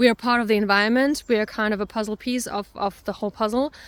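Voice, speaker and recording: On a very clean recording with a silent background, the speaker talks at a fairly quick pace with fairly even intonation in a Russian accent. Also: woman. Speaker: self-discovery coach. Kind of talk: personal reflection monologue. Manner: hesitant, many fillers.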